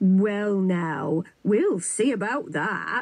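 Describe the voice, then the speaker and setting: A woman's put-on character voice at medium pitch with lively intonation. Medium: read story. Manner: friendly, reassuring.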